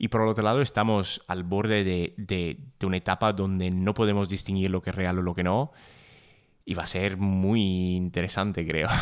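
The speaker has a slight Italian accent, a moderate pace and fairly even intonation. The recording is very clean, with a silent background. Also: man, very deep, low pitch for a man. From Italy. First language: Italian (speaking Spanish). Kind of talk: casual conversation.

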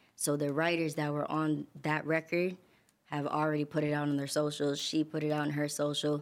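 With a New York accent, a woman speaks fairly quickly in a very deep, low voice, flat and monotone, at very even loudness, in a very clean recording with a silent background. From New York, Queens and Long Island. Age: 20s. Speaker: singer and songwriter. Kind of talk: interview.

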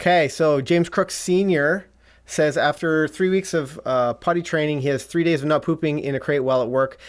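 A normal speaking voice with a Canadian accent, fairly quick and fairly even in intonation, with very even loudness on a very clean recording with a silent background. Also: man, fairly high pitch for a man. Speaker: dog trainer host. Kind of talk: live-stream chat about puppy training. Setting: live stream, home studio.

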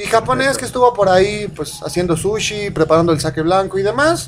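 Noticeable background noise runs under this clip. A man talks at a moderate pace with a high pitch. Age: 20s. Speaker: internet radio host. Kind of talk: casual chat.

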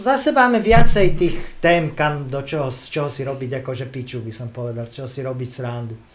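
A man talks at a moderate pace in a medium pitch. He has a plain, everyday voice. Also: ordinary pitch variation, big swings in loudness. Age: 50s. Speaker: comedian. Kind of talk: casual chat.

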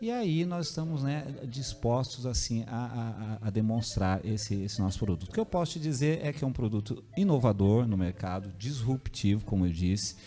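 With music in the background, a man of medium pitch talks at a moderate pace with hardly any pauses. His pitch swings very widely. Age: 50s. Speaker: businessman. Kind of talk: interview. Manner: halting.

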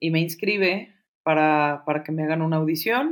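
The speaker is a woman. Her pitch is fairly low. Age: 40s. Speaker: actress and arts teacher. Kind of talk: interview. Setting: podcast recording.

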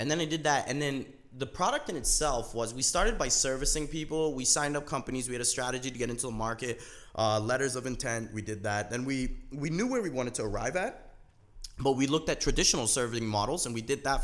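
Speaking very fast in a Canadian accent, this voice has ordinary pitch variation. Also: man. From Canada (Toronto). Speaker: startup founder. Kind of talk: interview. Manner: energetic.

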